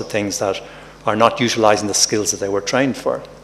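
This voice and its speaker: Noticeable background noise sits behind a man with an Irish accent. His pitch is fairly low and his intonation fairly even. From Ireland. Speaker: professor, health workforce expert. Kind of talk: conference talk. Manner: halting, with repetitions.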